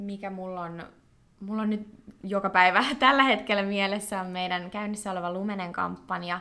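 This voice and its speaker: Bright and sharp in tone, this woman talks at a medium pitch. Her intonation stays fairly even. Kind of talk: casual interview. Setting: studio.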